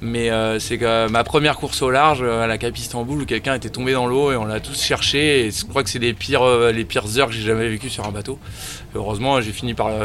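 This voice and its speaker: A man speaks at a fairly quick pace in a medium pitch, with fairly even intonation over noticeable background noise. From France, Paris region. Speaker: offshore sailor. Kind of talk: interview.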